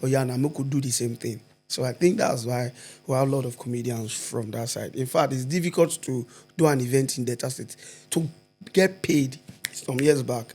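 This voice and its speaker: A man speaks with a Nigerian accent and ordinary pitch variation. Music plays in the background. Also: medium pitch for a man, moderate pace. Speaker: stand-up comedian. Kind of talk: podcast interview answer. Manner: mixes Nigerian Pidgin with English.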